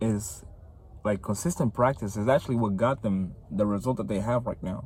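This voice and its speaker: A man with a non-native accent, fairly low in pitch, with lively intonation. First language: not English. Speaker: vlogger. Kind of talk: casual motivational vlog. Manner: casual, filler-heavy.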